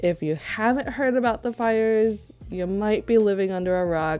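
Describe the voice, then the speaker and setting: A quiet woman at a moderate pace, ordinary pitch variation, music in the background. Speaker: streamer. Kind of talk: live-stream gaming chat.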